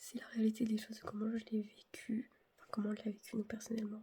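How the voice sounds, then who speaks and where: A woman with a fairly high pitch and a somewhat breathy voice talks at a moderate pace in a monotone, flat intonation. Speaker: family vlogger. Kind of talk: casual vlog. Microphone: no microphone.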